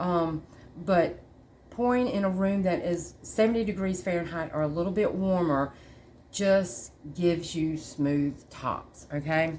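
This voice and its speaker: In a room with audible echo, a woman with a Southern US accent speaks at a fairly slow pace, her fairly low pitch moving with ordinary variation. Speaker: candle maker tutor. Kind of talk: tutorial. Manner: halting, many fillers; casual.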